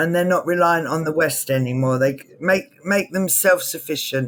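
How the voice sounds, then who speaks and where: A woman's fairly low voice, a normal speaking voice, in a very clean recording with a silent background. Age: 60s. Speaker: entrepreneur. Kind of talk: interview.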